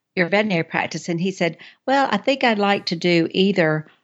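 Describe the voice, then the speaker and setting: A woman with an Alabama accent speaks at a medium pitch. Her intonation is lively. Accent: US Southern (Alabama). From North Alabama (Athens). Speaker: travel book author. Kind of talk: casual interview.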